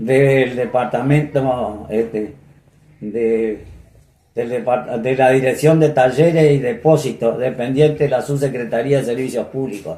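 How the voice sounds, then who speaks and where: Man with an Argentine Litoral accent, medium pitch, at a very slow pace. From Entre Ríos, Argentina. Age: 80s+. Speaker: retired municipal purchasing chief. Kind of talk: oral history interview answer.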